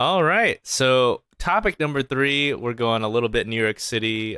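In an American accent, a man is talking. The variation in his pitch is ordinary. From US South, Arkansas. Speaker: comedian and podcast co-host. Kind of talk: casual chat.

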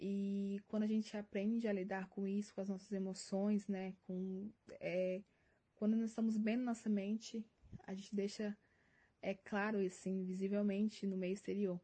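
A woman's medium-pitched, somewhat breathy voice with a dark, mellow tone, monotone, flat intonation and a moderate pace. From Minas Gerais, Brazil. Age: 20s. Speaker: university physics student. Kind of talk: prepared testimony.

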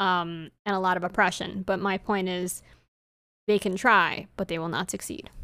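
On a very clean recording with a silent background, a woman speaks at a moderate pace in a medium pitch, her tone bright and sharp and her intonation fairly even. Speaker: podcast co-host. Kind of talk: casual chat.

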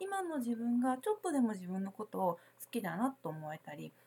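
Moderate-paced speech from a woman, fairly high in pitch. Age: 40s. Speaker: spiritual consultant and podcast host. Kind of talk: solo podcast talk. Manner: casual, many filler words.

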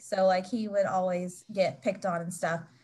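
This woman has an American accent. There is a somewhat breathy quality to her voice. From West Virginia. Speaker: author. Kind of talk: interview.

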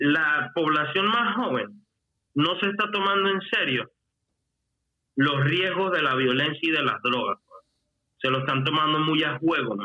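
Using lively intonation, a man with a fairly high pitch speaks fairly slowly, leaving long, frequent pauses. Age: 30s. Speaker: rapper. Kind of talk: casual chat. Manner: talkative once warmed up.

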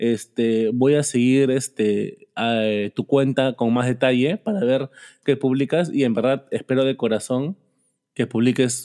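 A man with a dark, mellow tone and medium pitch, a fairly slow pace, ordinary pitch variation, and very even loudness, in a dry, close sound with no echo. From Peru. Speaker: podcast host. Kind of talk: casual interview.

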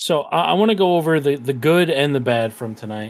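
There is a very clean recording here with a silent background. A man with an unremarkable speaking voice talks at a moderate pace with lively intonation. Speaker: podcast co-host. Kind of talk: casual chat.

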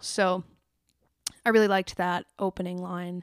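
Heard in a very clean recording with a silent background, a woman has a normal speaking voice at medium pitch and moderate pace. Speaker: podcaster and singer. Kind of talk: solo podcast, casual chat. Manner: casual, chatty, upbeat.

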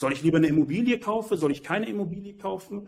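Speaking at a very fast pace, a man with a fairly high pitch uses lively intonation. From Germany, Berlin. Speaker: entrepreneur and finance advisor. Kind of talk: interview.

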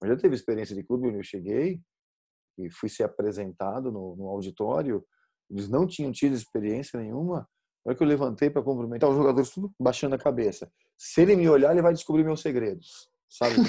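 A man with an unremarkable speaking voice talks fairly quickly at medium pitch, his intonation lively. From Brazil, São Paulo state. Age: 40s. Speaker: sports psychologist. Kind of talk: interview conversation.

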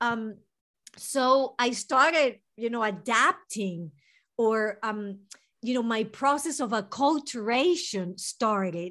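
A woman with a Venezuelan accent, fairly high pitch, bright, sharp tone and lively intonation, at a very slow pace over a quiet background. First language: Spanish. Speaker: mental health therapist. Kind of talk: interview.

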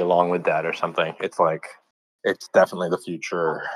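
The speech moves at a moderate pace in a monotone, flat intonation, with a dry, close sound with no echo and a quiet background. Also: man. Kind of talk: casual group discussion. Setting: online audio room.

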